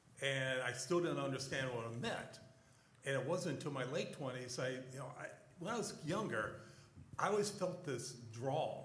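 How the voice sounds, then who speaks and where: A man with lively intonation at a moderate pace, with audible room echo and noticeable background noise. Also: medium pitch for a man. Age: 60s. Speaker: church panelist. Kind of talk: testimony. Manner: halting.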